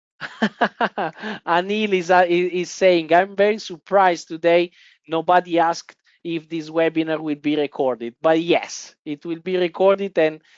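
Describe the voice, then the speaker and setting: A woman speaks in an Italian accent. Her intonation is fairly even. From Italy. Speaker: trading software presenter. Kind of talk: webinar presentation. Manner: hesitant, many fillers.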